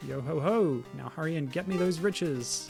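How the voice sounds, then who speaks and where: Over clear background music, a man in a put-on character voice speaks at a moderate pace with a fairly high pitch. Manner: gruff, jovial.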